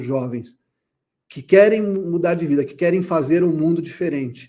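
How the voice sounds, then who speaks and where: Dark and mellow in tone, a man's voice moves at a fairly slow pace. His pitch varies in an ordinary way. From Brazil, São Paulo. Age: 60s. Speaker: therapist and speaker. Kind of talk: conference talk.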